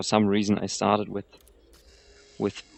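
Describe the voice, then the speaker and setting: Fairly low in pitch, a man talks with a non-native accent. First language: not English. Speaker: video game streamer. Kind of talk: gameplay commentary. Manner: halting.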